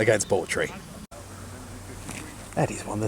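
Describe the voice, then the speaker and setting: A man talks fairly quickly while noticeable background noise carries on. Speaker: cricket commentator and video host. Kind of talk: sports highlights commentary.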